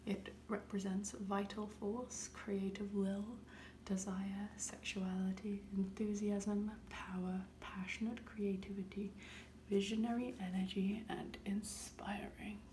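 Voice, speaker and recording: Someone soft-spoken talks at a very slow pace. There is noticeable background noise. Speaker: ASMR creator. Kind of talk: soft spoken ASMR tarot reading.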